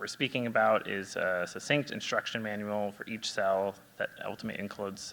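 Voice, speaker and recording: A soft-spoken man talks at a fairly quick pace. His tone is bright and sharp, his pitch fairly low. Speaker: genetic counselor. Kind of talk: presentation. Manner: halting, many fillers.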